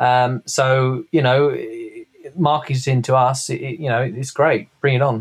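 Speaking with a British accent, a man keeps a medium pitch at a fairly slow pace. His intonation stays monotone and flat. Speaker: co-host.

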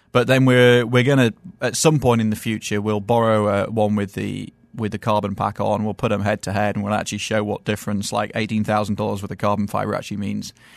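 A man with a British accent speaks at a very fast pace. His pitch is fairly low and his intonation is monotone and flat. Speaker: car journalist. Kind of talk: casual chat. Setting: studio.

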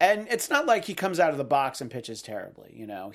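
In a very clean recording with a silent background, a man speaks at a very fast pace with very wide pitch swings. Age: 40s. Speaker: sports podcast host. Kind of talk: casual sports talk show.

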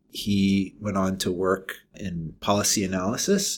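In a very clean recording with a silent background, a man with an American accent speaks at a fairly low pitch in a monotone, flat intonation. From Maryland, DC suburbs. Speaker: engineering professor. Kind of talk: interview. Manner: halting.

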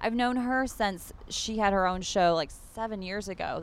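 A woman at medium pitch speaks in a plain, everyday voice with ordinary pitch variation. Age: 30s. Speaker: reality TV cast member. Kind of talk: casual chat. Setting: in person meeting.

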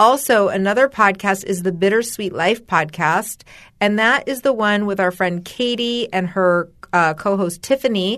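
A woman with an American accent speaks in an unremarkable speaking voice with ordinary pitch variation, over a quiet background. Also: medium pitch for a woman, moderate pace. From US West (Los Angeles and Spokane, Washington). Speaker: podcast co-host. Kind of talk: casual chat.

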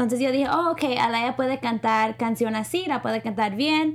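Moderate pace with ordinary pitch variation. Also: woman. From United States, Spanish-speaking family. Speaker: entertainment show co-host. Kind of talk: casual chat.

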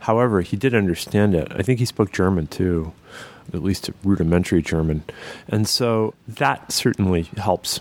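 Ordinary pitch variation runs through a man's very deep, low voice. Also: moderate pace.

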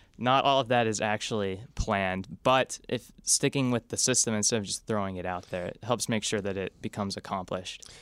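Recorded very cleanly against a silent background, with a dry, close sound and no echo, a man speaks in a plain, everyday voice at a fairly low pitch with ordinary pitch variation. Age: 20s. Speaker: stock analyst. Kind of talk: casual interview chat.

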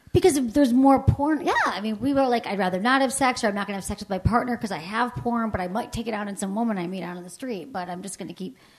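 Over noticeable background noise, a woman rushes along at a very fast pace with hardly any pauses and a fairly high pitch. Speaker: sex educator and podcast host. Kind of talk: casual conversation. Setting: stage with live audience.

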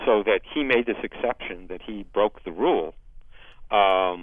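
A man with a normal speaking voice, fairly low pitched, at a moderate pace. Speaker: Olympic historian. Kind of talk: interview.

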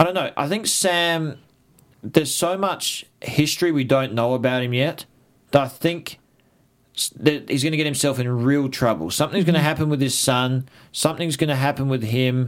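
Pitch varies in an ordinary way while the words come at a moderate pace. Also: man, fairly high pitch for a man. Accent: Australian. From Australia. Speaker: TV aftershow host. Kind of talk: casual chat.

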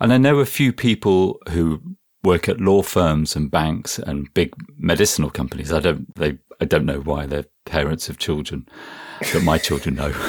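With a very deep, low pitch and vocal fry, a man talks at a moderate pace with ordinary pitch variation. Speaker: software developer and podcast co-host.

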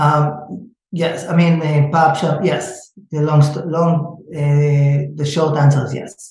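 A man's fairly high, somewhat breathy voice in an Israeli accent, very slow, with monotone, flat intonation. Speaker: startup founder and events manager. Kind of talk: interview. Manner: halting.

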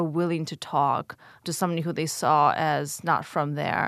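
A woman's fairly low voice with a Russian accent, at a moderate pace, in a dry, close sound with no echo and a quiet background. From Ukraine, emigrated to US as a child. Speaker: think tank scholar. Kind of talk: interview.

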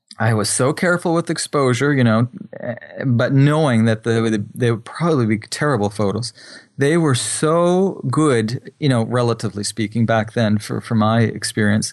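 This is an ordinary speaking voice: a man at medium pitch with ordinary pitch variation and very even loudness over a quiet background. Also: moderate pace. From Atlantic Canada (New Brunswick). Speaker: photographer and filmmaker. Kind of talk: interview.

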